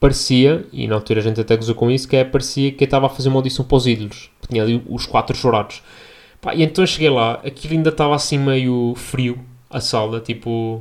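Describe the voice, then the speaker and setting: With a European Portuguese accent, a man talks at a medium pitch and a very fast pace. His intonation stays fairly even. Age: 20s. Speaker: podcast host and medical intern. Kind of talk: casual solo podcast monologue. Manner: relaxed.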